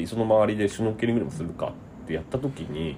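Here a man is talking. His pace is very fast. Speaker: writer and comedy sketch writer. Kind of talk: casual interview.

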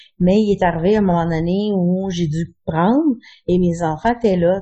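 Her voice is a plain, everyday voice, fairly low for a woman. She speaks at a fairly slow pace with fairly even intonation. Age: 40s. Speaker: chronic pain patient. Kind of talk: interview testimony.

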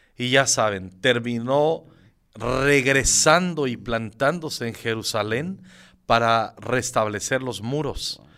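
In a very clean recording with a silent background, a man speaks at a very slow pace in a bright, sharp tone. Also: medium pitch for a man, ordinary pitch variation. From Michoacán, Mexico. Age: 50s. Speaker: pastor. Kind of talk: interview.

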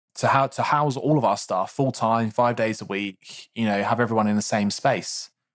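A man with an unremarkable speaking voice talks at a medium pitch and a moderate pace, with fairly even intonation. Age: 30s. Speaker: podcast co-host, creative director. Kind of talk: casual chat. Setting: video call.

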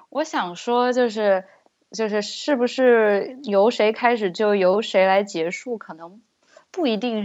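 A woman in a normal speaking voice talks at a fairly slow pace with medium pitch and ordinary pitch variation against a quiet background. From China. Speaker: guest. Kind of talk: casual chat.

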